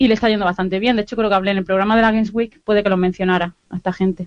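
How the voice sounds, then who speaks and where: Rattling along at a very fast pace, a woman speaks at a medium pitch in a monotone, flat way. The sound is dry and close, with no echo. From Andalusia, Granada. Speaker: video game podcast correspondent. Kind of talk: casual chat.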